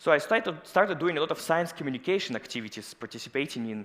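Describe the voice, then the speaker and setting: A man with a Russian accent speaks at a very fast pace and a fairly high pitch. His tone is bright and sharp, his intonation lively. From Russia, Moscow. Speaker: scientist. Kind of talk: conference talk.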